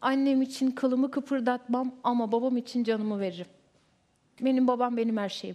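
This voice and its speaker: A woman with a high, dark, mellow voice speaks at a moderate pace over a quiet background. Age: 20s. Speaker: reality show participant; talk show guest. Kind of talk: heated debate. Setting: TV studio. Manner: animated. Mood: upset, aggrieved about family. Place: studio. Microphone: headset.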